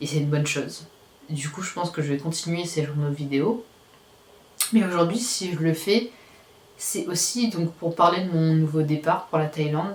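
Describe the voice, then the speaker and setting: A woman with a fairly low pitch speaks with long, frequent pauses and ordinary pitch variation. Noticeable background noise runs underneath. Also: moderate pace. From Réunion. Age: 20s. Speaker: vlogger. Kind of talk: personal video diary. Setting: at home, nearly empty apartment. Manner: hesitant, many fillers.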